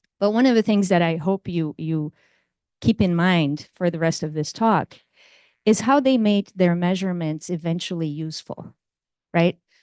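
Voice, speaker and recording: In a Portuguese accent, a woman speaks at a moderate pace with a fairly low pitch, ordinary pitch variation and a dark, mellow tone, recorded dry and close with no echo against a quiet background. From Brazil. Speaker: computer science professor. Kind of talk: lecture. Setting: lecture room with audience.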